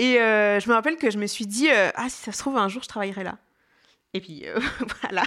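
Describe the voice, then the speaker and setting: A woman with a fairly high pitch talks at a fairly quick pace with ordinary pitch variation, pausing long and often. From France, Jura. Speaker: festival audience relations manager. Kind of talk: interview testimony. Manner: hesitant, many fillers.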